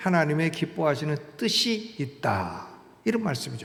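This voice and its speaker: A man talks at a moderate pace. Audible room echo and noticeable background noise fill the space around him. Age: 70s. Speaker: pastor. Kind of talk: sermon. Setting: church. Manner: conversational, with filler sounds.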